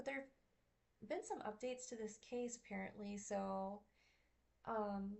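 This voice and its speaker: This woman speaks at a medium pitch. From Zimbabwe. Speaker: streamer discussing dog attack cases. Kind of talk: live stream commentary. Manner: casual with many fillers.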